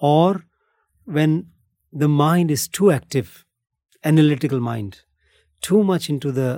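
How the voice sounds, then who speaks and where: With an Indian accent, a man talks in a dark, mellow tone with lively intonation, the sound dry and close with no echo. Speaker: meditation and breathwork teacher. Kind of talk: interview conversation.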